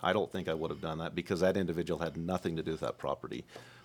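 A man with an American accent in a very clean recording with a silent background. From Moab, Utah. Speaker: county commissioner. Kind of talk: debate. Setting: studio. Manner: halting.

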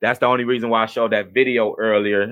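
The speaker has an American accent and talks at a very fast pace with monotone, flat intonation. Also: man. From US Midwest, Cleveland, Ohio. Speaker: podcast host. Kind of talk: casual livestream talk. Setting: home video stream.

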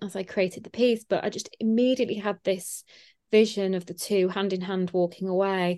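In a Yorkshire accent, a woman speaks at a moderate pace and medium pitch against a quiet background. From Yorkshire, England. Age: 20s. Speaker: artist and illustrator. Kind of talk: interview.

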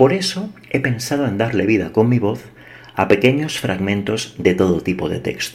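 A man speaks at a moderate pace, his medium-pitched voice carrying lively intonation. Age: 40s. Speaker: podcast host. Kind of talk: scripted monologue. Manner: measured.

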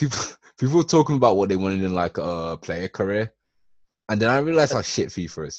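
A man with an English accent, fairly low in pitch, very fast, with very wide pitch swings. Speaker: podcast co-host. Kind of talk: casual chat.

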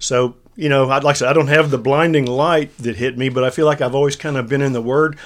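Words come at a very fast pace in a Texan accent. The recording is very clean, with a silent background. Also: man. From central Texas. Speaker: ministry leader and former consultant. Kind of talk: casual faith discussion podcast.

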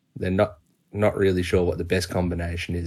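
A man's very deep, low, somewhat breathy voice in an Australian accent, over a quiet background. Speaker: cricket podcast co-host. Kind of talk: casual chat.

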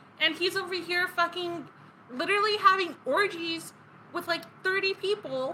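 A woman projects her voice at an extremely high pitch with ordinary pitch variation. Noticeable background noise runs underneath. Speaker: podcast co-host. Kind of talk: casual chat with scripted story segments.

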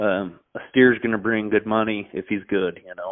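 An American accent comes through. Delivery moves at a moderate pace. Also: man. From Nebraska, US Midwest. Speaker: cattle breeder. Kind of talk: casual chat.

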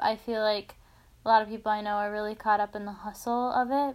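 On a very clean recording with a silent background, a woman with an unremarkable speaking voice talks at a fairly high pitch. Her pace is moderate and her intonation fairly even. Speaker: podcast co-host. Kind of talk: casual chat.

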